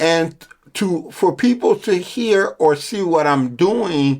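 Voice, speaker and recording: This man's voice sits high in pitch with ordinary variation, and he speaks at a very slow pace. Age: 60s. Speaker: fitness gym owner and trainer. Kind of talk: casual podcast chat.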